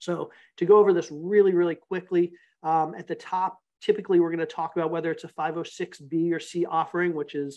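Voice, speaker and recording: High-pitched male voice at a fairly quick pace, flat and monotone in intonation. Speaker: real estate investor and author. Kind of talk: webinar presentation. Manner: fast.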